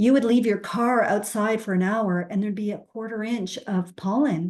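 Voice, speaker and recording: The woman's pitch sits fairly high, and she has a plain, everyday voice. Her pace is moderate, with ordinary pitch variation. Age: 60s. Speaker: recovery story guest. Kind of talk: testimony.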